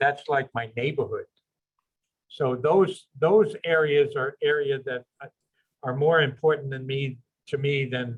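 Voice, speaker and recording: The voice is somewhat breathy and moves at a fairly slow pace. Long, frequent pauses break up the speech. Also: man, fairly high pitch for a man, ordinary pitch variation. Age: 70s. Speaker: neighborhood board member commenting at public meeting. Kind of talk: public comment at virtual community meeting. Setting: video call.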